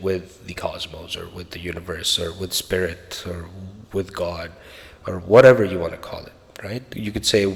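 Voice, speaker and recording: Speaking with a Spanish accent at a moderate pace, a man keeps a fairly low pitch and a fairly even intonation. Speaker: podcaster on a spiritual journey. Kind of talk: personal storytelling monologue. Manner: casual, conversational.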